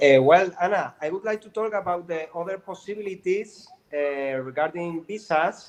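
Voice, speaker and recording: A man with a Spanish accent speaks at a high pitch. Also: ordinary pitch variation, moderate pace. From South America. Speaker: lawyer. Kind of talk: live stream interview. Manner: halting.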